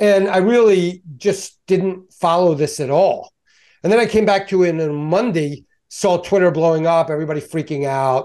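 A man with an American accent and a plain, everyday voice, fairly high in pitch, at a moderate pace with ordinary pitch variation. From Baltimore, US. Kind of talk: casual chat.

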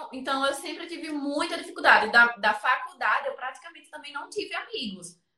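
Speaking in a raised, projected voice, a high-pitched woman talks at a fairly quick pace with hardly any pauses, lively intonation and big swings in loudness. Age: 20s. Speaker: photographer and photography teacher. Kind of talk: interview on live stream.

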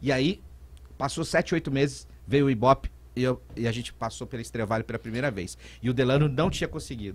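This man speaks very fast with vocal fry, lively intonation and a medium pitch. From Brazil, São Paulo state (Vale do Paraíba, Aparecida / São José dos Campos). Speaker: radio presenter and DJ. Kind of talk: casual interview.

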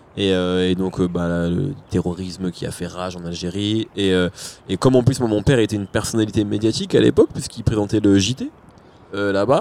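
With a plain, everyday voice, a man speaks fairly quickly at a fairly low pitch with ordinary pitch variation. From France, arrived from Algeria age 4. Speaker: rap journalist. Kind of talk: casual chat.

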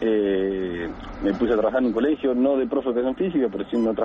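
This man talks at a fairly quick pace with a medium pitch, and noticeable background noise can be heard behind him. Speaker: caller, childhood friend and teammate. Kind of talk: radio interview.

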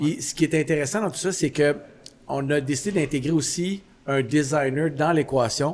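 A normal speaking voice from a man, fairly high in pitch, at a moderate pace. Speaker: podcast host, coffee shop owner. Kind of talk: casual chat. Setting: coffee shop.

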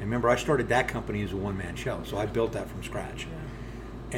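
The speaker talks at a very fast pace amid audible room echo. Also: man. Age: 50s. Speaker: distillery founder and master distiller. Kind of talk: interview conversation. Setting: distillery.

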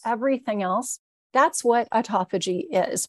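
A woman with a plain, everyday voice and an American accent speaks at a fairly high pitch with lively intonation, in a dry, close sound with no echo and a quiet background. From Southern California. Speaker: supplement company founder. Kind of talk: interview.

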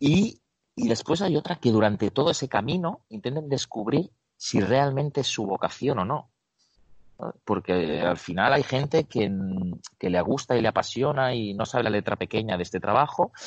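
A man with an unremarkable speaking voice talks at a moderate pace in a medium pitch with lively intonation. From Spain, Barcelona (Catalonia). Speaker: basketball strength and conditioning coach. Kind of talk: interview.

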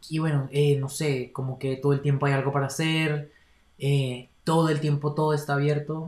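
A man's somewhat breathy, fairly high voice in monotone, flat intonation. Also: moderate pace. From Colombia, Bogotá. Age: 20s. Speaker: university student. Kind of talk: casual interview.

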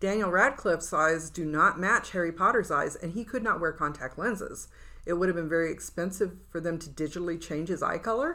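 Her voice is fairly low for a woman, bright and sharp in tone, with ordinary pitch variation. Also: fairly quick pace. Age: 60s. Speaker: writers' podcast co-host. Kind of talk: casual chat. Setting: studio.

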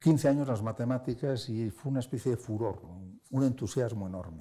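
A man at medium pitch with a dark, mellow tone, moderate pace, very clean recording and silent background. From Spain. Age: 60s. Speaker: philosopher and editor. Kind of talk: interview. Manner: hesitant.

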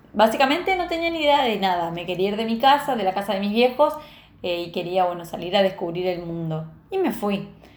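A woman with a medium pitch talks at a fairly quick pace with very wide pitch swings, amid noticeable background noise and audible room echo. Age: 30s. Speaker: podcast host and entrepreneur. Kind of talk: personal storytelling monologue. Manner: casual, hesitant with fillers.

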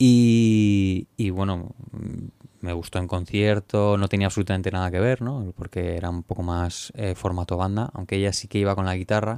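A man's fairly low voice with a dark, mellow tone and fairly even intonation at a moderate pace, in a very clean recording with a silent background and a dry, close sound with no echo. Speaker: music producer. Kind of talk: interview. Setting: recording studio. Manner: halting.

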